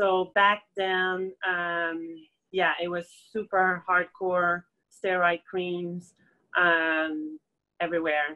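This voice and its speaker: In a Quebec accent, a woman speaks very slowly at a fairly low pitch with monotone, flat intonation. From Quebec, Montreal. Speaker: acupuncturist. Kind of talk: interview, personal testimony. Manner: halting, many fillers.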